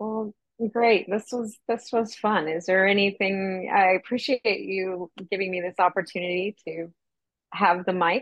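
Speaking at a fairly slow pace, a woman with a plain, everyday voice keeps a medium pitch and a fairly even intonation. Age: 40s. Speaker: friend of the host, asking questions. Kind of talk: casual interview chat.

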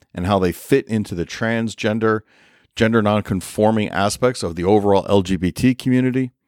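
A man with an American accent and an unremarkable speaking voice talks fairly quickly at a fairly low pitch, with ordinary pitch variation. The recording is very clean and dry, close with no echo, over a silent background. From New York. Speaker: podcast host, psychiatric nurse practitioner. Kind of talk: scripted intro monologue; casual interview chat.

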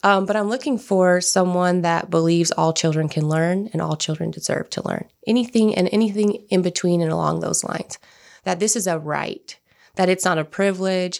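This woman has an ordinary speaking voice at a medium pitch with ordinary pitch variation. She talks at a fairly quick pace. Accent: American. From California Central Valley (Turlock). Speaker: school founder. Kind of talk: interview.

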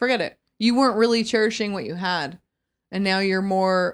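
In a very clean recording with a silent background, a woman with a normal speaking voice talks at a moderate pace and a medium pitch. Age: 30s. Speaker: podcast co-host. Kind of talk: casual chat.

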